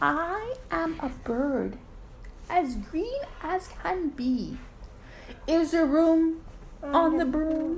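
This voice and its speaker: Putting on a character voice at an extremely high pitch, a woman speaks at a very slow pace with long, frequent pauses, over clear background noise. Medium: read story.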